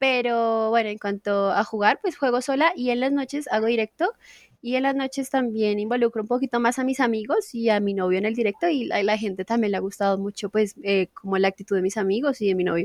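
A woman talks in a plain, everyday voice at a fairly quick pace with hardly any pauses, her pitch fairly high with ordinary variation and her loudness very even. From Colombia, Casanare. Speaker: gamer and streamer. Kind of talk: casual chat.

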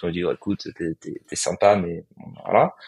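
A man talking at a very fast pace. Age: 30s. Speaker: startup co-founder. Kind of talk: interview.

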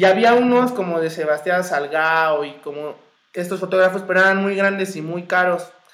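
A man with a high pitch, speaking at a moderate pace. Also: ordinary pitch variation. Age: 20s. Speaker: visual artist and photographer. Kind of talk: casual interview.

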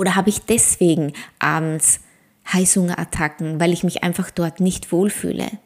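Moderately paced speech, a very clean recording with a silent background. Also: woman. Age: 40s. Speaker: ayurveda coach and podcast host. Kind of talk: solo podcast monologue; promotional pitch.

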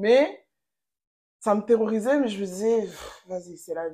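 The woman talks at a fairly slow pace with ordinary pitch variation. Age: 20s. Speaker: psychology graduate. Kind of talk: casual chat.

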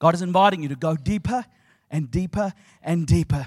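In a New Zealand accent, a man with a fairly high pitch speaks in an animated, warm tone with ordinary pitch variation, the sound dry and close with no echo. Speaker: preacher. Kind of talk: sermon. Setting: stage with audience. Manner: warm, humorous and engaging, with a call-and-response style.

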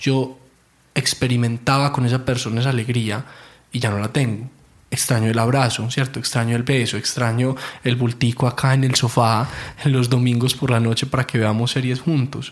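The delivery is fairly quick, with very even loudness. Intonation stays monotone and flat. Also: man. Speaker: therapist. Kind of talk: casual chat.

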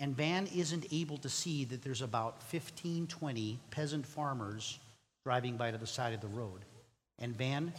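Somewhat breathy and fairly high-pitched, a man speaks at a moderate pace with ordinary pitch variation and audible room echo. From Mexico. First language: Spanish. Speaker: youth speaker. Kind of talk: sermon. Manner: animated.

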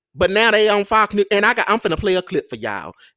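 A raised, projected voice with a bright, sharp tone comes through in a dry, close sound with no echo. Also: man. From Mississippi Delta, US South. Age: young. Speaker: political podcast host. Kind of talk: solo podcast commentary. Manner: animated.

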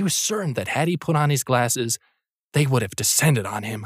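A man speaks in a normal speaking voice at a fairly quick pace with lively intonation, recorded dry and close with no echo, very clean, and with a silent background. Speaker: audio narrator. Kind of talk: horror story narration, read aloud.

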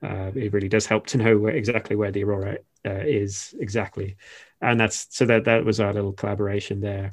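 A man's fairly low, monotone voice at a fairly quick pace, over a quiet background. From England, Shropshire. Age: 30s. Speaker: planetary scientist. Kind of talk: interview. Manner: hesitant with many fillers.

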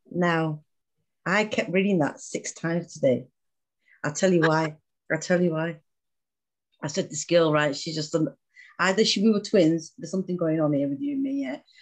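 A British accent with long, frequent pauses. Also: moderate pace. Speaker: podcast host. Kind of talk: interview.

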